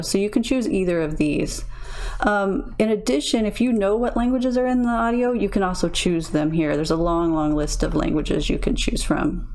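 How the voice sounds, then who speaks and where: With lively intonation and a fairly quick pace, a woman talks amid audible room echo and noticeable background noise. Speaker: tech tutorial creator. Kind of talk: tutorial. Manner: casual, many fillers.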